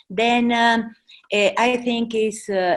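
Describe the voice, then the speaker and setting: A woman speaks very slowly with a Mexican accent. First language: Spanish. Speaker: charity president. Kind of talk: presentation. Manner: halting, many fillers.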